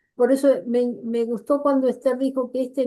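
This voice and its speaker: A woman's high-pitched voice with a dark, mellow tone and fairly even intonation. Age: 80s+. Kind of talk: workshop teaching.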